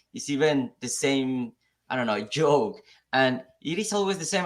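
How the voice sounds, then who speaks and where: A man's voice with a non-native accent, lively intonation and a moderate pace. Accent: noticeable foreign. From Mexico. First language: Spanish. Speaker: software engineer. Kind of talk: live talk show discussion. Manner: halting, repeats words.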